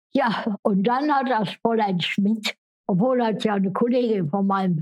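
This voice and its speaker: A woman talks at a very slow pace. Her pitch sits fairly high. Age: 90s. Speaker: care home resident. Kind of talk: life story interview.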